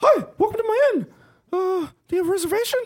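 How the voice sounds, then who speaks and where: Squeaky and extremely high, this put-on character voice rattles along at a fairly quick pace. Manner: welcoming, formal host.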